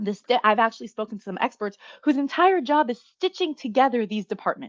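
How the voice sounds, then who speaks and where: A woman's high-pitched voice with an American accent, lively intonation and a fairly quick pace, recorded dry and close with no echo against a quiet background. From New York. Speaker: marketing strategy consultant. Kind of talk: interview. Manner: fast-talking.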